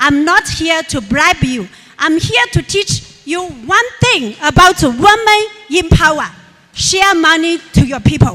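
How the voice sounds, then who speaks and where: A woman raises and projects her voice at an extremely high pitch, with very wide pitch swings at a fairly slow pace. Background noise is noticeable. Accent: Chinese. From rural China. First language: Chinese. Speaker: businesswoman and motivational speaker. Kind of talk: motivational speech.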